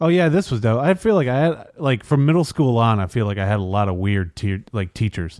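The speaker moves at a fairly quick pace with hardly any pauses, the pitch swinging very widely. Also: man, medium pitch for a man. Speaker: podcast co-host. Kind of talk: casual chat. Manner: doesn't enunciate.

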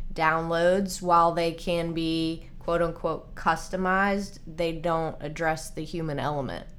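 Audible room echo surrounds a woman speaking at a fairly low pitch and a very slow pace. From Nashville, Tennessee. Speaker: nutrition and fitness coach. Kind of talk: casual interview.

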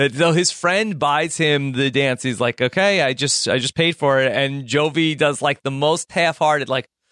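A man's bright, sharp voice comes through dry and close with no echo over a quiet background. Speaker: podcast host. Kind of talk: casual chat about a reality TV show.

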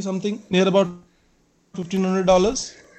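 This man speaks with an Indian accent. His pitch is high. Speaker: caller, exam candidate. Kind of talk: call-in question. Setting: online call. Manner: halting.

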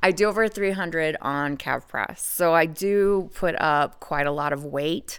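A woman speaks in a normal speaking voice, fairly low in pitch, at a fairly slow pace with ordinary pitch variation. The recording is very clean, with a silent background. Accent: American. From US, Idaho. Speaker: legal brothel sex worker. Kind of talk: podcast interview.

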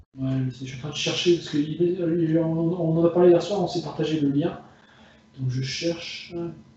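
Noticeable background noise surrounds a man whose fairly high-pitched voice shows big swings in loudness. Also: fairly even intonation, fairly slow pace. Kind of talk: casual chat. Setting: phone call from bedroom. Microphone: phone.

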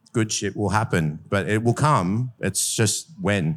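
Lively in intonation but fairly slow in pace, a man with an Australian accent speaks in a very clean recording with a silent background. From Adelaide, South Australia. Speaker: bar owner. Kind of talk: panel discussion.

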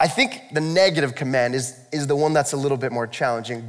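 Speaking fairly quickly, a man delivers his words. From US. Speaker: pastor. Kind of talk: sermon. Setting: church. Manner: fast talker.

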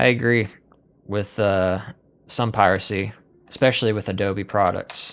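This man has a fairly low pitch and a moderate pace, with long, frequent pauses. The recording is very clean, the background silent. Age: 20s. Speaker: podcast host. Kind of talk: casual chat. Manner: animated, joking.

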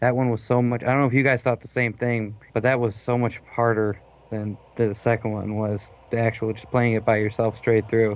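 A man speaks at medium pitch and a moderate pace. His intonation is flat and monotone. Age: 20s. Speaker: gamer. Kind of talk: casual chat.

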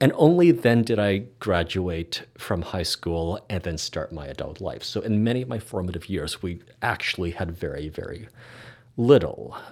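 At a moderate pace, a man with a Canadian accent speaks at a fairly low pitch with very wide pitch swings in a very clean recording with a silent background. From Canada. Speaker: podcast host and hypnotherapist. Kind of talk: casual chat.

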